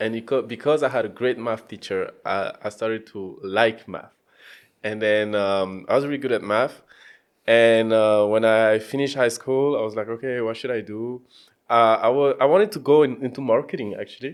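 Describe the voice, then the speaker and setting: A man with a French accent at medium pitch and a moderate pace, fairly even in intonation, on a very clean recording with a silent background. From France. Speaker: data scientist and coach. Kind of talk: podcast interview. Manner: hesitant, many fillers.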